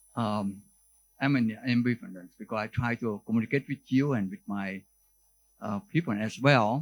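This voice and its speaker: A man at a medium pitch with a Vietnamese accent, speaking at a fairly slow pace with ordinary pitch variation, in a dry, close recording with no echo. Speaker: neurologist professor. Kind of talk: conference lecture. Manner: halting, with many fillers and restarts.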